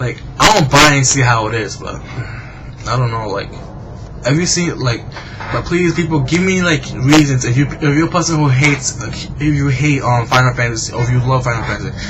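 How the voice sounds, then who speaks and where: In a room with audible echo and noticeable background noise, a man with an American accent speaks fairly quickly at a medium pitch. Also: ordinary pitch variation. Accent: Boston accent, self-described as bad. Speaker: gaming vlogger. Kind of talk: casual video blog monologue. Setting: at home at night, webcam. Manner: halting, many fillers and restarts.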